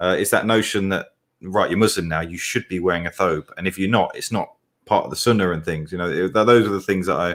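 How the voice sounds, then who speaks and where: A man with an English accent talks at a very fast pace in a very deep, low pitch, keeping his intonation fairly even. The recording is very clean, with a silent background. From England. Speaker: co-host, convert to Islam. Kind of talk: casual chat.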